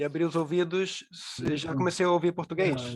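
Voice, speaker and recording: Male speaker at a moderate pace with fairly even intonation. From Brazil, Rio de Janeiro. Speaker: panel speaker. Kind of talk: panel talk.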